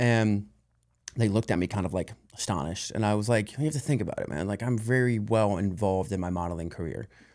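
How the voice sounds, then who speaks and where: Over a silent background in a very clean recording, a man with an American accent talks at a very fast pace. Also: fairly low pitch for a man, ordinary pitch variation. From US South, Louisiana. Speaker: actor and model. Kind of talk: casual chat. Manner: halting, many fillers.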